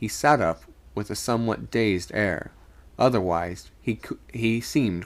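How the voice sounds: A natural reading voice, its pitch moving in an ordinary way.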